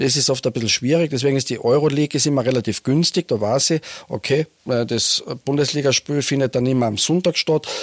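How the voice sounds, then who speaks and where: A man's fairly high-pitched voice at very even loudness, with fairly even intonation and a dry, close sound without echo. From Austria, Carinthia (Lavanttal). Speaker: team doctor and trauma surgeon. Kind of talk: casual interview. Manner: halting, with repetitions.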